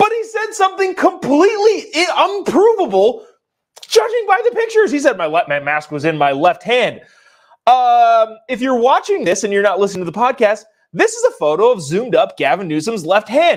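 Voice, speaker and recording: Extremely high in pitch, a man speaks at a fairly quick pace. His tone is animated, with very wide pitch swings. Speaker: political commentary show host. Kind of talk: live political commentary.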